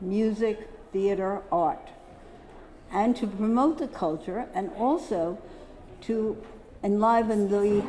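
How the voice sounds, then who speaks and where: A woman's fairly high voice at a very slow pace with ordinary pitch variation, long, frequent pauses and audible room echo. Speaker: poster dealer, lecturer. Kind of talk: symposium lecture. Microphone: echo on the microphone.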